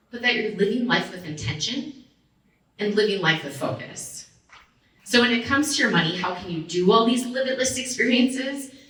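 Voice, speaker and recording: With an American accent, a woman talks at a fairly quick pace in an animated tone, her fairly high pitch carrying lively intonation and big swings in loudness, with audible room echo. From Minnesota. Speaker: financial advisor. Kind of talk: motivational talk.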